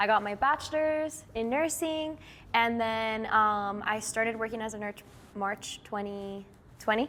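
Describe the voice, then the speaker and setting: A woman's bright, sharp voice at a fairly high pitch, fairly slow in pace with ordinary pitch variation, on a very clean recording with a silent background. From Miami, Florida (Cuban-American). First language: Spanish. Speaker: nurse. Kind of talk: casual interview.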